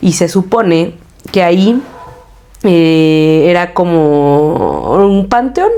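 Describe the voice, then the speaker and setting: With noticeable background noise, a woman with a Mexico City accent speaks at a very slow pace in a fairly low voice, using ordinary pitch variation and long, frequent pauses. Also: very even loudness. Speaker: podcast co-host. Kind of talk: casual chat. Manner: animated.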